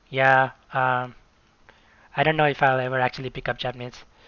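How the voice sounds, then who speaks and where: A man with a South Asian accent speaks at a medium pitch. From Nepal. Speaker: video game streamer. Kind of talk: live stream commentary. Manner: hesitant, many fillers.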